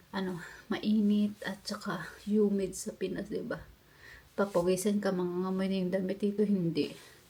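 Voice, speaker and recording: With a medium pitch and monotone, flat intonation, a woman speaks at a moderate pace. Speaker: vlogger. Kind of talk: casual vlog chat. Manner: halting.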